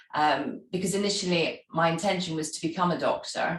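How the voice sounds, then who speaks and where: In a Scottish accent, a woman speaks at a moderate pace with a fairly low voice and ordinary pitch variation. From Scotland. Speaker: travel industry executive and charity founder. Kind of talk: interview.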